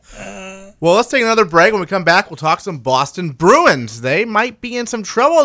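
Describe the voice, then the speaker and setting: A man with an American accent speaks in a raised, projected voice at a moderate pace, his high pitch swinging very widely and his tone bright and sharp, in a very clean recording with a silent background. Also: hardly any pauses, big swings in loudness. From Seattle, US. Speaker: sports radio host. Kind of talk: casual sports talk radio. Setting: studio.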